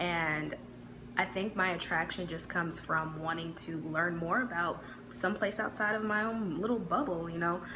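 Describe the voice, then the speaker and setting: Amid noticeable background noise and audible room echo, a woman talks at a fairly low pitch and moderate pace with ordinary pitch variation. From US Midwest. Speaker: YouTuber. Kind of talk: casual vlog talk.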